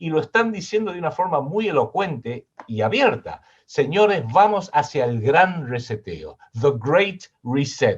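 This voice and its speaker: At a fairly slow pace, a man with a Rioplatense accent speaks at a fairly high pitch with very wide pitch swings. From Argentina. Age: 60s. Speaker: political analyst and writer. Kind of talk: interview.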